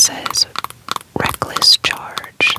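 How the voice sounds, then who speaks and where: Whispering at a very slow pace in a calm tone, the voice comes through noticeable background noise. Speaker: ASMR content creator. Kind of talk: ASMR soft-spoken card showcase. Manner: soft-spoken, calm.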